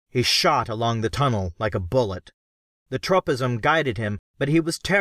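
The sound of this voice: Over a quiet background, an unforced reading voice moves with lively intonation.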